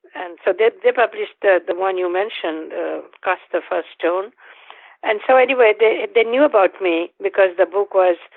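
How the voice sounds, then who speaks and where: A woman speaks with a Bengali accent at a moderate pace. Her pitch varies in an ordinary way. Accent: Bengali Indian English. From northeast India. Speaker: Jungian analyst and author. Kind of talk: interview. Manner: halting.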